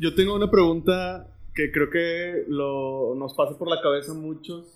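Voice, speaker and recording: A plain, everyday voice with fairly even intonation. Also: man. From Monterrey, Mexico. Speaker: podcast host. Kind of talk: casual chat.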